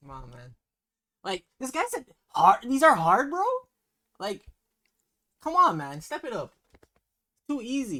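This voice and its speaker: A man speaks at an extremely high pitch in a raised, projected voice with a bright, sharp tone. His pace is fairly slow, with very wide pitch swings and long, frequent pauses. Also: big swings in loudness. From Jamaica. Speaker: YouTube reaction channel host. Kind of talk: casual talk to camera.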